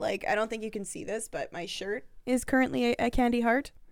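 A woman talks fairly quickly in a fairly high pitch, an ordinary speaking voice. The recording is very clean with a silent background. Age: 20s. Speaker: podcast co-host. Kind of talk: casual chat.

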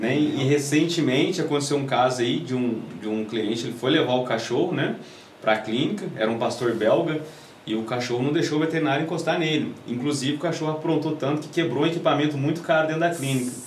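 Over noticeable background noise and audible room echo, a man with a fairly high pitch talks at a very fast pace with ordinary pitch variation. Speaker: dog trainer. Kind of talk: casual chat.

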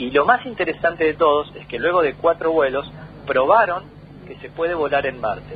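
Fairly high-pitched male speech at a moderate pace, ordinary pitch variation, noticeable background noise behind it. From Argentina, Tandil (Buenos Aires province). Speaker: astronomer. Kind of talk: radio interview. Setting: phone call.

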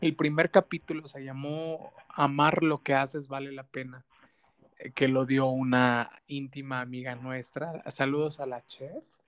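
A man talks at a very slow pace with a fairly high pitch. The sound is dry and close, with no echo. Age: 30s. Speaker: podcast host. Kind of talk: interview.

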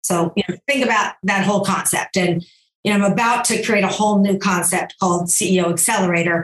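A plain, everyday voice talks at a fairly quick pace, its loudness very even and its intonation fairly even. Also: woman, medium pitch for a woman. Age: 60s. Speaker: entrepreneur and gender equality advocate. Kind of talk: interview conversation.

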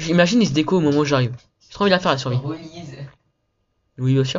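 A man speaks very fast at a fairly high pitch, with ordinary pitch variation. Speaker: gaming youtuber. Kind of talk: gameplay commentary. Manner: casual, hesitant with many fillers.

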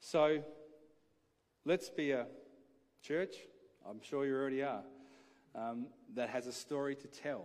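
A man with an Australian accent, fairly high in pitch, at a fairly slow pace with ordinary pitch variation and long, frequent pauses. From Adelaide, South Australia. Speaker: pastor. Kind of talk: sermon. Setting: church.

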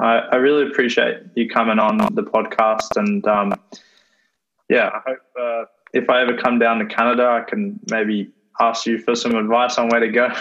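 Fairly even intonation from a man in an Australian accent. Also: medium pitch for a man, moderate pace. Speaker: podcast host. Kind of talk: casual interview. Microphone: dodgy audio from internet connection.

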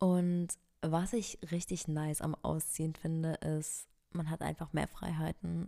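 A woman speaks in a dark, mellow tone with monotone, flat intonation. The recording is very clean, with a silent background. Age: 20s. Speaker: lifestyle podcaster and content creator. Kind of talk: casual solo chat. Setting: home recording in a new apartment. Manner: casual, with frequent fillers.

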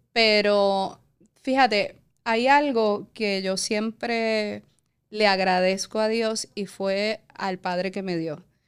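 The recording is very clean, with a silent background. A woman speaks very slowly at a medium pitch, her intonation fairly even. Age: 40s. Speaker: entrepreneur. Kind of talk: interview, personal story.

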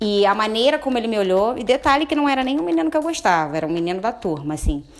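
Over noticeable background noise, a woman with a fairly high pitch speaks with very wide pitch swings. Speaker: podcast guest. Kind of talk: casual chat.

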